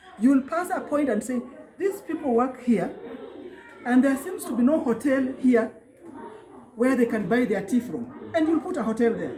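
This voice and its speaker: A woman talks at a moderate pace in a high pitch with lively intonation and long, frequent pauses. Noticeable background noise runs underneath. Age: 60s. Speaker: job candidate being vetted. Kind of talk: interview.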